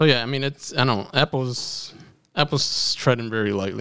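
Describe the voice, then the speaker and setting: A man in a normal speaking voice goes at a fairly quick pace with ordinary pitch variation. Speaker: podcast co-host. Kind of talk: casual chat. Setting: studio, same room as co-hosts.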